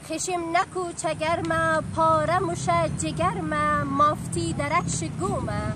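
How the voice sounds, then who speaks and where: In a dry sound with no echo but noticeable background noise, a woman speaks very slowly in a raised, projected voice, high in pitch with very wide pitch swings. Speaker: poetry reciter. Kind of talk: poetry reading. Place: open country.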